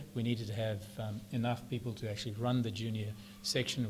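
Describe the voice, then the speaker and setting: A man with a New Zealand accent, very fast and somewhat breathy, with a fairly low pitch and monotone, flat intonation. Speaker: club founding life member. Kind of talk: interview.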